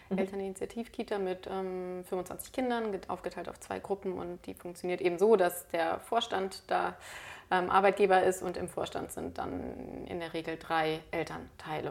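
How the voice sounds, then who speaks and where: Using an ordinary speaking voice, a woman talks at a moderate pace in a medium pitch, her intonation fairly even but her loudness swinging widely. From Berlin, Germany. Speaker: lawyer and mediator. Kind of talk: casual interview chat.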